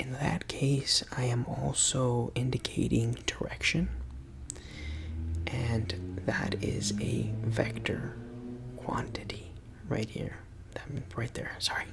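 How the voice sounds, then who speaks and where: Soft-spoken, a man talks at a very slow pace with long, frequent pauses over noticeable background noise. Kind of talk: ASMR physics tutoring roleplay.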